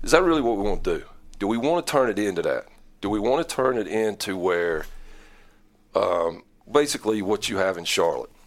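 A man at a fairly quick pace, with long, frequent pauses. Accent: North Carolina. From North Carolina Piedmont, Iredell/Catawba County. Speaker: high school football coach. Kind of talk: interview.

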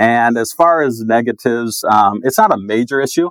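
With a plain, everyday voice, a man talks at a medium pitch and moderate pace, his pitch varying in an ordinary way, the sound dry and close with no echo. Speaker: school digital learning coach. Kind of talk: casual interview chat.

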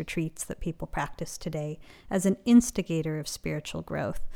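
A woman's dark, mellow voice with a West Coast accent, at a moderate pace, in a very clean recording with a silent background. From Los Angeles, US. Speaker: meditation teacher and author. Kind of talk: interview conversation.

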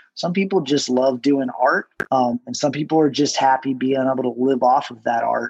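This man has an ordinary speaking voice with a medium pitch and fairly even intonation. He keeps a moderate pace with hardly any pauses. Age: 40s. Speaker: tattoo artist. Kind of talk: casual chat.

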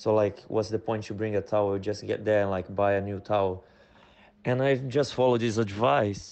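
A man with a non-native accent speaks at a moderate pace. His pitch is fairly low and his intonation fairly even. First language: not English. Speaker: guest. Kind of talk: casual storytelling. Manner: halting, non-native phrasing.

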